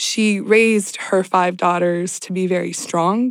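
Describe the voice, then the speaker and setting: A woman with an unremarkable speaking voice and an American accent speaks at a fairly slow pace and a medium pitch with fairly even intonation, on a very clean recording with a silent background. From Southern California. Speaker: nonprofit executive director. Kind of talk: interview.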